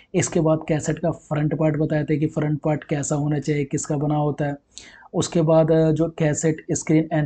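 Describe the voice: A man speaks at a fairly high pitch and moderate pace in a monotone, flat intonation. His tone is dark and mellow with a slightly husky edge.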